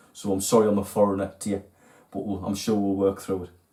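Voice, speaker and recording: Speaking at a very fast pace, a man talks in a strong Geordie accent. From northern England, Newcastle (Geordie). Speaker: fishing tackle video host. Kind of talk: casual video talk to viewers.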